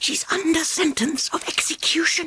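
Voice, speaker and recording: A timid, nervous put-on character voice whispers. The pace is moderate. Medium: read story. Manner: timid, hushed, nervous.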